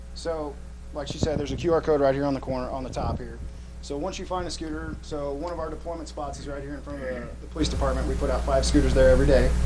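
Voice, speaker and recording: Audible room echo and noticeable background noise surround a man who talks at a very fast pace with big swings in loudness. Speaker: scooter company worker. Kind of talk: product demonstration. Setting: city council meeting. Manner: casual.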